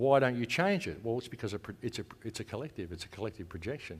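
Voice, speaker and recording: A man speaks with an Australian accent and ordinary pitch variation, recorded very cleanly against a silent background. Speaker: conference speaker, radio host and activist. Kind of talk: conference talk. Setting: stage with audience. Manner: casual, conversational.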